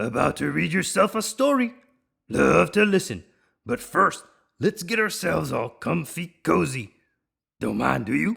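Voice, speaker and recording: Using a croaky, put-on character voice at a medium pitch, a man talks at a moderate pace with long, frequent pauses. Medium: read story. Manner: clipped, chirpy, breezy.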